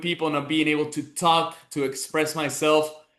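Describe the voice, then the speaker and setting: This man speaks at a fairly high pitch in a Venezuelan accent, his tone bright and sharp and his intonation flat and monotone, against a quiet background. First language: Spanish. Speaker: business mentor. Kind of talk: motivational talk. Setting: online group call.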